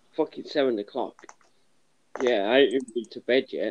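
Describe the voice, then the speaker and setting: The speaker has a northern English accent and talks at a moderate pace. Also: man, big swings in loudness. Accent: sounds northern English. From London, England. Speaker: caller on live panel. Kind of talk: casual chat.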